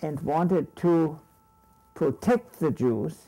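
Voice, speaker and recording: A man with a fairly high pitch and a dark, mellow tone speaks at a very slow pace. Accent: German. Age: 80s+. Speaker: Holocaust survivor; retired psychology professor. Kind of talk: interview answer.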